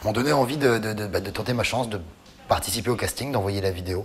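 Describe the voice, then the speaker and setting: Against noticeable background noise, a man talks at a fairly quick pace in a fairly low pitch with ordinary pitch variation. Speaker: singer. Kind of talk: interview. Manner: halting.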